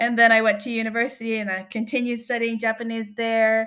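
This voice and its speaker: On a very clean recording with a silent background, a woman talks with an Australian accent. Her pitch is fairly high and her pace fairly quick. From Australia, New South Wales. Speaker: linguist. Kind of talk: casual interview chat. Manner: animated.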